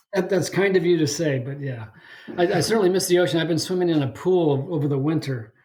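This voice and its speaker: Speaking at a very fast pace with an American accent, a man has a high pitch, ordinary pitch variation and a dark, mellow tone, with audible room echo. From Northern California (Bay Area, Saratoga). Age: 70s. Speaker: podcast guest, ocean swimmer. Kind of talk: casual interview chat. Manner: halting with fillers.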